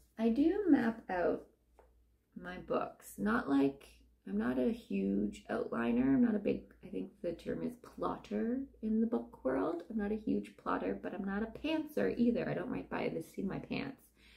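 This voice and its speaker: A woman at a moderate pace, with noticeable background noise behind her. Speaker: novelist and vlogger. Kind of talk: casual vlog talk.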